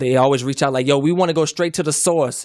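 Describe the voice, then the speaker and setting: A man speaks with fairly even intonation. The recording is very clean, with a silent background. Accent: American. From Lake Charles, Louisiana. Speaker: rapper. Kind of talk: interview. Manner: halting.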